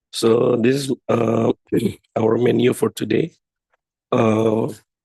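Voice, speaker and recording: Very slowly, a man talks at a medium pitch with a dark, mellow tone, vocal fry and monotone, flat intonation. The sound is dry and close, with no echo. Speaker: academic researcher. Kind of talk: lecture.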